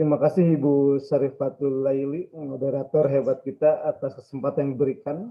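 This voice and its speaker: A man speaks in an ordinary speaking voice at a fairly quick pace, fairly high in pitch, with fairly even intonation, very even loudness and hardly any pauses. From Garut, West Java, Indonesia. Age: 30s. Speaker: Islamic teacher. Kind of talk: religious lecture.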